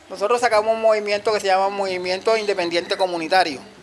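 A man talks in a high pitch with fairly even intonation. Noticeable background noise runs underneath. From Cartagena, Colombia. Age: 50s. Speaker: community leader. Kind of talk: interview testimony. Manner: halting.

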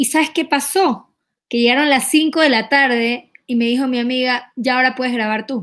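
Very cleanly recorded against a silent background, a woman speaks at a high pitch and moderate pace with fairly even intonation. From Ecuador. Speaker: singer. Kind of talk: interview.

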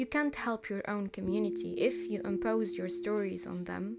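Moderate pace, with noticeable background noise behind the voice. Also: woman. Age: 20s. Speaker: podcast host. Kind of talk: personal podcast monologue.

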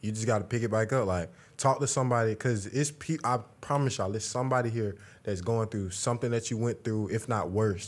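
On a very clean recording with a silent background, a man talks at a fairly quick pace, fairly low in pitch, with ordinary pitch variation.

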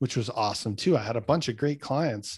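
Man at medium pitch with a Manitoban accent, dry and close with no echo, on a very clean recording with a silent background. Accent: Canadian (Manitoba). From Canada, Winnipeg. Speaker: fitness coach and former pro hockey player. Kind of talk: casual interview chat. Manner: animated.

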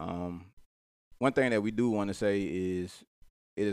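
A man talks with a fairly low pitch. The recording is very clean and the background silent. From Mobile, Alabama. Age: 20s. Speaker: podcast host and mental health professional. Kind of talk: casual chat.

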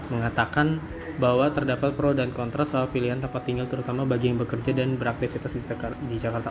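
Monotone and flat, the voice moves at a very fast pace over noticeable background noise. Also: man. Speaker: podcast host. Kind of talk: casual solo chat with reading of articles. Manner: casual, laughing often.

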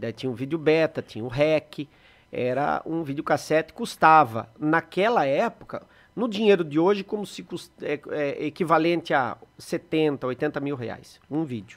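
An ordinary speaking voice from a man, fairly high in pitch, fairly slow in pace, with lively intonation. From Brazil, Sorocaba (São Paulo state). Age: 40s. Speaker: photographer and videographer, production company owner. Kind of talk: podcast interview.

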